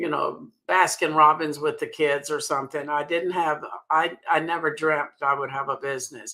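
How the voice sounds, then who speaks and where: The speaker has an American accent and a bright, sharp tone. The pace is moderate and the intonation fairly even. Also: woman, very deep, low pitch for a woman. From US South. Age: 80s+. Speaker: sales director. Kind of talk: interview.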